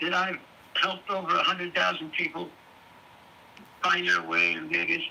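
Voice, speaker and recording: A man's voice amid noticeable background noise. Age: 70s. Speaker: old friend of the streamer. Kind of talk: casual chat.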